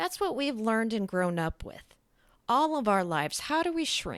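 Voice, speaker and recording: Loud and at a moderate pace, a woman speaks with very wide pitch swings. The recording is very clean, with a silent background. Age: 40s. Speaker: podcaster. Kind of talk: personal monologue. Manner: halting.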